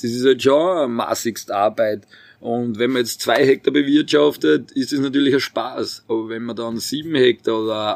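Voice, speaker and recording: Speaking at a moderate pace, a man has a medium pitch, ordinary pitch variation and a plain, everyday voice. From Austria, Burgenland (Purbach, Neusiedler See). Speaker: winemaker. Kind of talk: interview.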